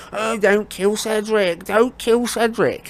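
A fairly high-pitched put-on character voice at a fairly slow pace, over light background noise. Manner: mocking, whimpering.

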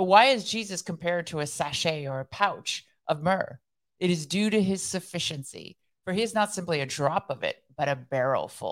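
With an unremarkable speaking voice, a woman at fairly low pitch talks at a moderate pace with lively intonation over a silent background in a very clean recording. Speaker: devotional podcast co-host, former counterterrorism expert. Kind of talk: casual chat.

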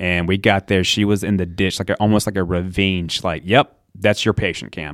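A man with a Southern US accent and a very deep, low pitch speaks at a moderate pace, the sound dry and close with no echo on a very clean recording with a silent background. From US South, eastern North Carolina. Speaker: EMT. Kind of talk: casual chat. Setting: studio. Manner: animated.

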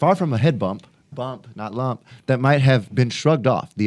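The pitch shifts in an ordinary manner. It is plain reading aloud.

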